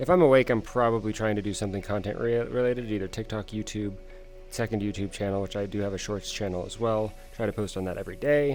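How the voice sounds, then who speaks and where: This man talks at a very fast pace. His voice sits fairly low. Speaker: VR streamer and vtuber. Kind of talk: community Q&A video. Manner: monotone.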